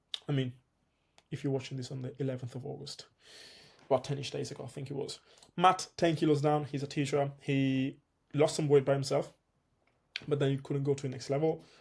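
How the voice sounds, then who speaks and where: A man talks fairly quickly at a fairly high pitch, somewhat breathy and in a monotone, flat intonation. Long, frequent pauses break up his speech, and his loudness swings widely. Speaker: fitness coach. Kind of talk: tutorial. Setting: home video recording, one take. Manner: fast; casual.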